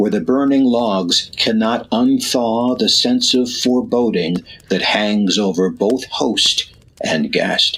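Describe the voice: A man puts on a character voice, speaking slowly at a fairly low pitch with a fairly bright tone, a slightly husky edge and ordinary pitch variation.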